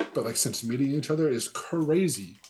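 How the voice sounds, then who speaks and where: Dark, mellow tone from a man, somewhat breathy, with ordinary pitch variation. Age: 20s. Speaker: podcast guest. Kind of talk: casual chat.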